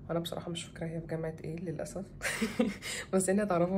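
A woman at a very fast pace, fairly low in pitch, with light background noise. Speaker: vlogger. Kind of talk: casual vlog chat. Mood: cheerful, grateful, laughing. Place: home room. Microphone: phone near.

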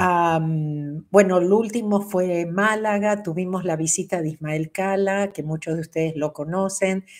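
Over a quiet background, the speaker uses an Argentine accent at a fairly slow pace with fairly even intonation. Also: woman. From Argentina. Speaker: spiritual teacher. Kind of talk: livestream talk. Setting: livestream. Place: home room.

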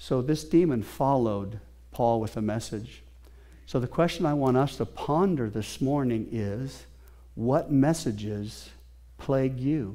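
Over a quiet background, a man with a dark, mellow tone speaks at a fairly slow pace with ordinary pitch variation. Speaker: pastor. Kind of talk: sermon. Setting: church with congregation. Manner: animated, preacher in full flow; conversational, interactive with congregation. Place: church.

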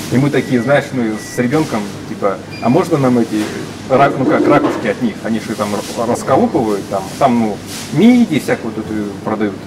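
Amid loud background noise, a man talks at a moderate pace with ordinary pitch variation and long, frequent pauses. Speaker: vlogger. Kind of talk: casual storytelling chat. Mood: amused, friendly. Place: shop. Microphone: phone near.

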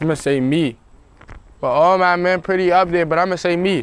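At a fairly quick pace, a man with an American accent speaks in a fairly high pitch, the sound dry with no echo. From Maryland, Walker Mill Road area (Prince George's County); Maryland. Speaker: rapper; interviewee. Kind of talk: casual interview. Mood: relaxed, laid-back. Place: street. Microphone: lapel.

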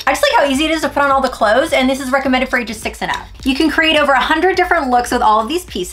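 The speech has lively intonation. Music plays in the background. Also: woman. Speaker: toy reviewer. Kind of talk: toy review tutorial. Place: home room.

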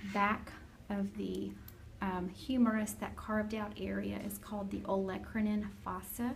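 A woman speaking at a fairly slow pace over noticeable background noise. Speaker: anatomy teacher. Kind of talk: lecture. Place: classroom. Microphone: phone near.

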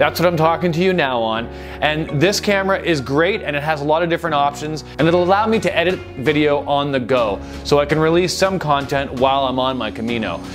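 A man talks at a fairly quick pace. Behind him, clear music can be heard. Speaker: travel vlogger. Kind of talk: casual vlog chat. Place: home room. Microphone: lapel.

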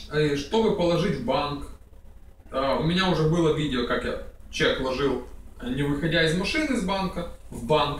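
A man's fairly high voice at a moderate pace, ordinary pitch variation, long, frequent pauses, and audible room echo. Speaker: vlogger. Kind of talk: casual tutorial. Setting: at home, screen recording. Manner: casual, chatty. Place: home room.

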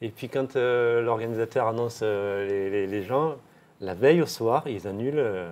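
A man speaks in a medium pitch with ordinary pitch variation. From southern France, Millau; southern France. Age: 50s. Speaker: former professional cyclist; interviewee. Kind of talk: interview. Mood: calm, reflective, candid. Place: home room. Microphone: lapel.

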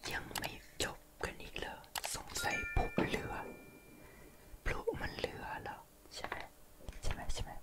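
A man whispers. Noticeable background noise runs underneath. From Thailand. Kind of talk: ASMR. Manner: whispered.

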